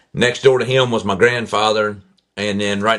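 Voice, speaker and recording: Over a quiet background, a man with a Southern accent talks at a fairly quick pace in a fairly low pitch with fairly even intonation. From Kentucky, near Owensboro. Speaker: accident survivor and motivational speaker. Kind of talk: testimony.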